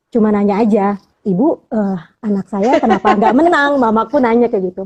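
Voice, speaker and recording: A woman with a fairly high pitch and ordinary pitch variation speaks at a fairly quick pace. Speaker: poetry recitation champion. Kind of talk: casual interview. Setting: live video stream.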